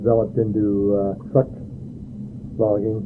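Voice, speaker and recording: Medium-pitched man at a fairly slow pace, monotone and flat in intonation, with audible room echo and noticeable background noise. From Central Oregon, US. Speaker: oral history interviewee. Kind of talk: oral history interview. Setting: sister's home.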